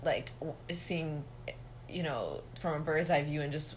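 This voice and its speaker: A woman's very deep, low voice sounds monotone and flat, with audible room echo. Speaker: reiki healer and spiritual teacher. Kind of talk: livestream monologue. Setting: livestream. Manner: serious, no mirth in tone.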